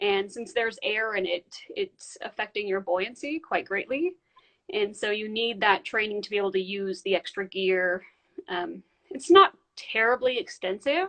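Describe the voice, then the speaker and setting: A woman with a normal speaking voice talks moderately fast at a medium pitch, with ordinary pitch variation. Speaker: polar diver and underwater videographer. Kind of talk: live interview.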